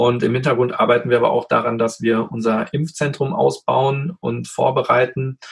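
The man talks at a moderate speed in a medium pitch, with ordinary pitch variation. There is some breathiness in his voice. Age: 30s. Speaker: anesthetist and emergency doctor. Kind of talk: casual interview. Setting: remote recording from home office.

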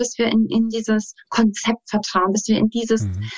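A woman's fairly high voice at a fairly slow pace, dry and close with no echo, with music in the background. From Saarland, Germany. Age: 30s. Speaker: dance teacher and life coach. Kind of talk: interview.

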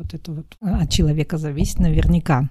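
With noticeable background noise, a woman with a very deep, low voice talks at a fairly quick pace and fairly even intonation. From Kazakhstan, Aktobe. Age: 40s. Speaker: podcast co-host. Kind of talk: casual chat.

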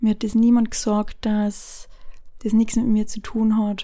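A woman speaks at a fairly high pitch. Her tone is dark and mellow, and somewhat breathy. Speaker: podcast host. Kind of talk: personal monologue. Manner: hesitant with filler sounds.

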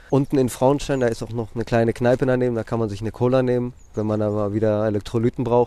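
The man's voice has a dark, mellow tone. The recording is very clean, with a silent background. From Greece (Athens). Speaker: bike courier. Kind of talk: casual interview. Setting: outdoors.

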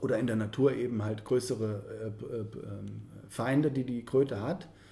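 A man speaks in a dark, mellow tone that is somewhat breathy. His pitch variation is ordinary. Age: 30s. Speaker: organiser of psychedelic spiritual retreat weekends. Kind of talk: interview.

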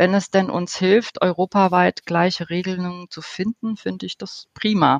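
A woman talks at a fairly slow pace in a monotone, flat intonation. The sound is dry and close, with no echo. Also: quiet background. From Germany. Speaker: interior architect, professional association president. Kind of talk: interview.

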